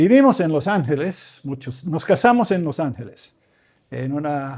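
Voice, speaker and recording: Speaking at a fairly slow pace, a man uses a fairly high pitch. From Venezuela, raised by Canadian missionary parents. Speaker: professor and visiting preacher. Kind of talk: sermon. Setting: church. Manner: informal, joking.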